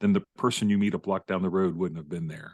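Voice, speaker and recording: A man with a plain, everyday voice speaks at a fairly low pitch with ordinary pitch variation, in a dry, close sound with no echo and a quiet background. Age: 60s. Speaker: author and former pastor. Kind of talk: interview conversation.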